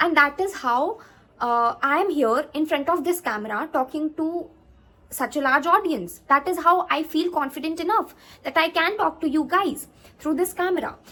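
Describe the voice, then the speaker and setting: In a raised, projected voice with a bright, sharp tone, a woman with an Indian accent speaks at a moderate pace, her extremely high pitch showing ordinary pitch variation. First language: Hindi. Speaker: YouTuber, CA student. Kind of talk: advice vlog. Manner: halting, many fillers.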